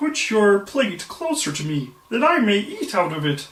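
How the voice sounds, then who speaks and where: Using a put-on character voice, the speaker talks at a moderate pace, fairly high in pitch with very wide pitch swings. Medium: read story. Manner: insistent.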